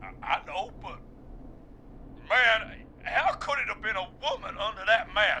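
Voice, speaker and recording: A drawling, put-on character voice moves at a moderate pace with long, frequent pauses. Clear background noise runs underneath. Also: man. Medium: video game. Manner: casual, drawling, says man often.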